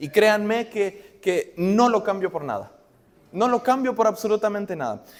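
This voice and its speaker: A man's high-pitched voice with an Argentine accent. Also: ordinary pitch variation, fairly slow pace. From Argentina. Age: young. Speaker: preacher. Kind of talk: sermon. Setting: church.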